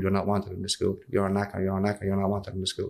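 The man's voice sits fairly low in pitch. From Castlebar, County Mayo, Ireland; Ireland. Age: 20s. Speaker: prisoner. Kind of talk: interview. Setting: prison. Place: meeting room. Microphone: studio mic.

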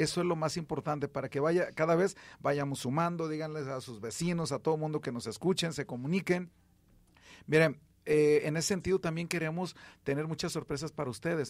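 Fairly quick and with fairly even intonation, a man with a fairly high pitch speaks in an ordinary speaking voice. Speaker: radio host and rehabilitation physician. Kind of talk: radio health call-in show. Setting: radio studio.

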